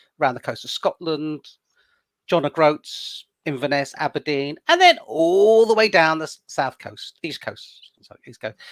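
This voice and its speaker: In a very clean, dry and close recording with no echo and a silent background, a man speaks at a moderate pace in a plain, everyday voice with a fairly high pitch. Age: 60s. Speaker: wellness campaigner. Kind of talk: interview.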